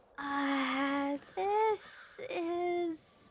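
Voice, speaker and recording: A woman's put-on character voice, pitched high. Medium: video game. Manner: casual, chatty.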